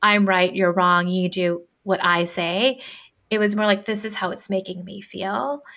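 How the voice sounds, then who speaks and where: A woman with a normal speaking voice, medium pitch and a fairly slow pace. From US, Filipino immigrant family. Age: 30s. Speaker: business and career coach. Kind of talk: casual chat.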